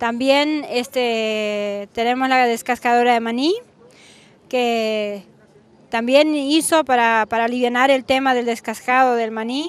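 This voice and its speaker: A woman at a very slow pace, high-pitched, with fairly even intonation. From Argentina, Misiones (San Vicente). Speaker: small farmer and food producer. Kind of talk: interview at an exhibition stand. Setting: farm machinery exhibition. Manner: halting, many fillers and repetitions.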